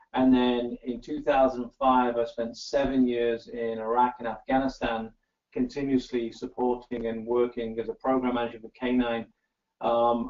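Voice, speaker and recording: Speaking with an English accent, a man keeps a medium pitch, a moderate pace and a monotone, flat intonation. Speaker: working dog trainer and company founder. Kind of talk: interview.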